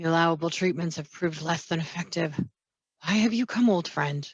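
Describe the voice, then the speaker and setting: A female-sounding, raspy put-on character voice speaks at a middle pitch. The tone is weary and the pace fairly quick. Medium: read story. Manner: weary, grave.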